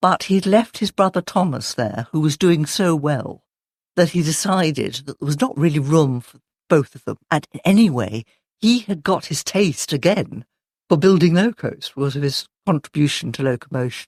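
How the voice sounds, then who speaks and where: A woman with a very deep, low pitch speaks at a moderate pace, with big swings in loudness and very wide pitch swings. The sound is dry and close with no echo, on a very clean recording with a silent background. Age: 70s. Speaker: local historian. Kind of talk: podcast interview.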